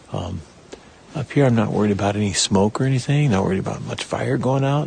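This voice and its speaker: With ordinary pitch variation and a fairly quick pace, a man's speech comes through noticeable background noise. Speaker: hunter. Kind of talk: self-filmed outdoor vlog. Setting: outdoors, hunting camp. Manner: hesitant with fillers.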